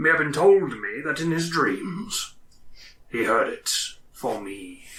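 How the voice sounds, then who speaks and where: Using a put-on character voice, a man talks fairly slowly at a fairly high pitch. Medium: actual play. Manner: cryptic, eccentric.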